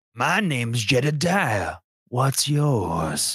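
Putting on a raspy character voice, a man speaks very slowly at a medium pitch with very wide pitch swings. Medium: actual play. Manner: jokey, friendly.

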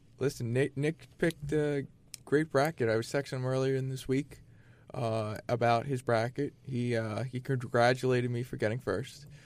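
A man with a normal speaking voice talks at a medium pitch. His pace is moderate and his intonation fairly even. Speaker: sports talk co-host. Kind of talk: sports talk panel.

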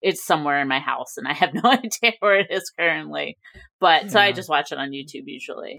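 A woman's bright, sharp voice at medium pitch with vocal fry, very fast, with very wide pitch swings and big swings in loudness. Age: 40s. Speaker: entertainment journalist. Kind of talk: casual chat.

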